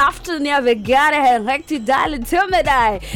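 High-pitched woman's voice, dramatic and animated in tone, at a moderate pace over noticeable background noise. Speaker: radio DJ. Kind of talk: radio DJ patter between tracks, hyped show intro and track commentary. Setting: radio studio broadcast. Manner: animated, upbeat, energetic, playful, chatty with slang and laughter; dramatic, plays with accents and languages.

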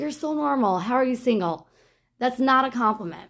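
A woman in a normal speaking voice, with an American accent and lively intonation, on a very clean recording with a silent background. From Monsey, New York. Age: 30s. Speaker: podcast guest. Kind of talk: interview.

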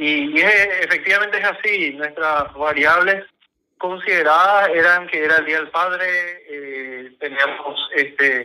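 This man has a bright, sharp tone and fairly even intonation. His pace is fairly slow. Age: 40s. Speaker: party electoral tribunal president. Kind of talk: radio interview.

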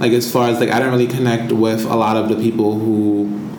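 The speech moves at a fairly quick pace with fairly even intonation. Audible room echo and noticeable background noise come through. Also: man. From US, New York (Bronx). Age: 20s. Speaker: podcast co-host. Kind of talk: casual chat.

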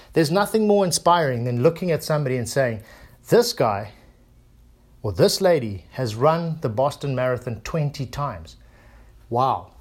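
In a very clean recording with a silent background, a man sounds animated, his pitch swinging very widely between long, frequent pauses. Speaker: podcaster. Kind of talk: solo monologue. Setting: home recording, pacing. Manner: fast talker; high energy, animated.

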